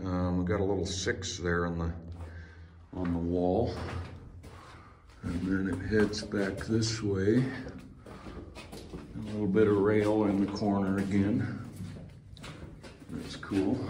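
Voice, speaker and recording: The speaker goes at a very slow pace with fairly even intonation and long, frequent pauses. Noticeable background noise runs underneath. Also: man, fairly low pitch for a man. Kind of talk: casual exploration commentary. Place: tunnel cave. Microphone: phone near.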